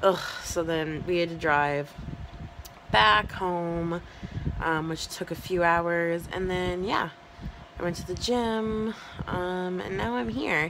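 Through noticeable background noise, a woman with a fairly low pitch speaks at a very slow pace, leaving long, frequent pauses. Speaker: vlogger. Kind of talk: casual vlog chat. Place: home room. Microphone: phone near.

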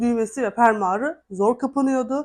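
A woman speaks in a high voice with ordinary pitch variation against a quiet background. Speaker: vlogger. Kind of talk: vlog.

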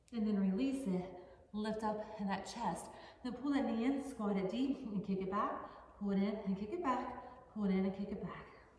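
Over light background noise and audible room echo, a woman speaks at a moderate pace in a fairly high voice. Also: ordinary pitch variation. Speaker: yoga instructor. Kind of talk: guided yoga class, instructing poses. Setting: home yoga studio video. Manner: brisk, rhythmic cueing; upbeat, encouraging. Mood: calm, encouraging. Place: home room.

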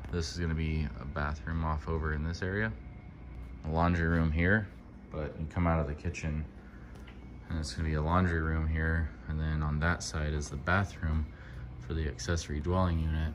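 With long, frequent pauses, a man with a very deep, low pitch speaks at a moderate pace with fairly even intonation over noticeable background noise. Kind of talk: casual vlog chat. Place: garage. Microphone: phone near.

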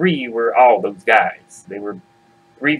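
Someone reads aloud in an unforced reading voice.

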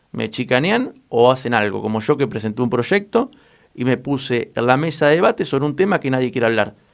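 A man with a normal speaking voice, medium pitch and lively intonation at a fairly quick pace. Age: 20s. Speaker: local political candidate. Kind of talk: radio interview. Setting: radio studio.

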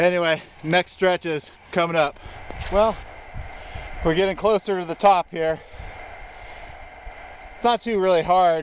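A man's high-pitched voice, fairly slow, with ordinary pitch variation, a dry sound with no echo and light background noise. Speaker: hiking vlogger. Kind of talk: casual vlog chat. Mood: cheerful, joking. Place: open country. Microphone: phone near.

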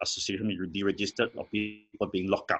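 The man talks against a quiet background. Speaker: guest, lawyer. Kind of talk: interview answer. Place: home room. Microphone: video call.

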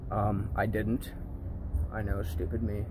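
A man speaks with noticeable background noise behind him. The sound is dry, with no echo. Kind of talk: casual vlog chat. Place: garage. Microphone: phone near.

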